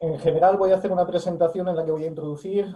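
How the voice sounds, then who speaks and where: A man with a Spanish accent and a high voice, talking at a very fast clip, ordinary pitch variation. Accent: Spanish (Spain). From Spain. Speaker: academic. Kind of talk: lecture.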